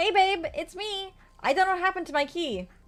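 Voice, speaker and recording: A woman puts on a loud, squeaky character voice at an extremely high pitch. She talks at a fairly quick pace with lively intonation. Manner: casual, calling out at a door.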